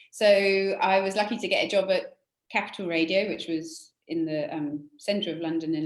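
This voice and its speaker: A woman is speaking. She has a strong British accent. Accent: British, still fairly strong. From England, UK. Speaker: conservation charity director. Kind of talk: interview.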